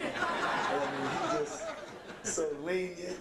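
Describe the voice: A raspy male voice with ordinary pitch variation carries audible room echo.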